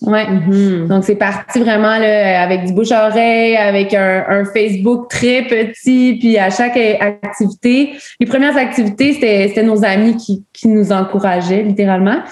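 A woman speaks in an unremarkable speaking voice, fairly high in pitch. Her loudness stays very even and her intonation fairly even. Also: fairly slow pace. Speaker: outdoor women's community director. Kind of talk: casual chat.

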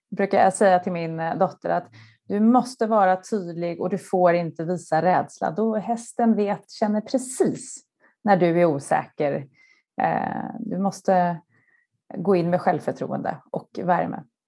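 A woman's medium-pitched voice, dark and mellow in tone, at a fairly slow pace with ordinary pitch variation. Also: very clean recording, silent background. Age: 40s. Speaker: marketing executive. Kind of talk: interview.

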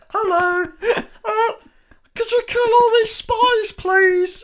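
This put-on character voice is squeaky and extremely high-pitched, moving at a very slow pace. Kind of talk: polite request. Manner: funny, persuasive little voice.

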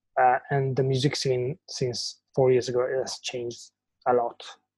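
Somewhat breathy and dark, mellow in tone, a man with an Italian accent speaks at a medium pitch and a fairly slow pace. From Italy. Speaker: band singer and guitarist. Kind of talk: casual interview. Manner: halting.

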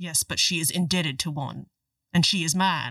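Pitched in the middle range, the voice is a put-on character voice. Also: moderate pace. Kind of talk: melodramatic romance. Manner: stiff, formal, solemn.

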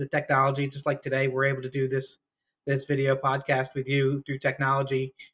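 In a plain, everyday voice, a man talks at a fairly quick pace and fairly high pitch with an American accent. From New Jersey. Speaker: missionary. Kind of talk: casual interview. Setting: video call.

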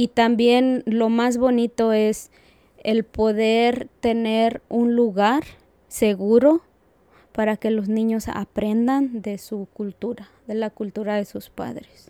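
With a dry, close sound and no echo, a woman speaks very slowly at a fairly high pitch, her tone dark and mellow and her intonation monotone and flat. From Aguascalientes, Mexico. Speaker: community program coordinator. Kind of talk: interview.

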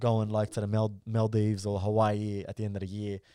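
Against a silent background in a very clean recording, a man speaks with an Australian accent at a fairly quick pace. His fairly low voice has a dark, mellow tone and monotone, flat intonation. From Melbourne, Australia. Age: 20s. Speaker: content creator. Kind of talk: casual chat.

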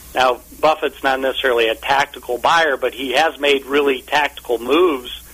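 A man with an American accent, medium pitch, monotone, flat intonation and a moderate pace over noticeable background noise. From US Midwest (Omaha, Nebraska). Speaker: fund company executive. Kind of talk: radio interview. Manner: halting, many fillers and repetitions.

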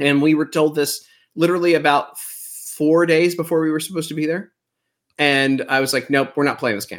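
Recorded very cleanly against a silent background, a man with a normal speaking voice talks fairly quickly at a fairly high pitch, his intonation fairly even. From Texas. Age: 40s. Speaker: comedian. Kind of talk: casual chat.

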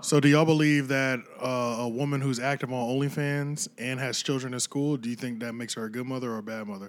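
A man talks at a very fast pace with an American accent. His pitch is medium and his intonation fairly even. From Pennsylvania. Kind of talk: casual banter.

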